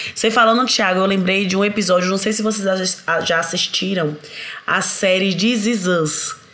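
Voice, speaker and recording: A woman at medium pitch and moderate pace, her intonation fairly even, with audible room echo and noticeable background noise. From Bahia, Brazil. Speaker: parenting author. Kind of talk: casual chat.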